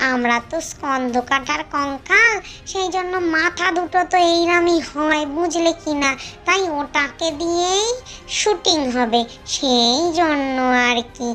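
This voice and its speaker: A high-pitched, cartoonish character voice at a fairly slow pace, with clear background noise. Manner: chatty, explanatory.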